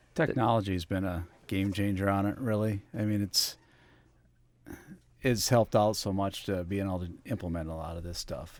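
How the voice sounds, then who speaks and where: A man's unremarkable speaking voice with an American accent, fairly low pitch, fairly even intonation and moderate pace, in a very clean recording with a silent background. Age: 40s. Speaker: farmer. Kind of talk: podcast interview. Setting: studio.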